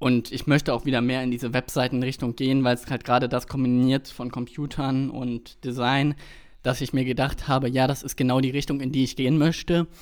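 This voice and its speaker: A man talks at a fairly quick pace in a flat monotone, recorded very cleanly against a silent background. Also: medium pitch for a man. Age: 20s. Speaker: podcast co-host, web developer. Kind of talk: casual chat.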